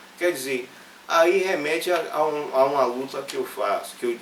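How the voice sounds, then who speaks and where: A man with a high voice speaks fairly slowly and with lively intonation, with audible room echo and noticeable background noise. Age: 60s. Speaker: journalist and professor. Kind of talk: interview. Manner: halting, many fillers and restarts.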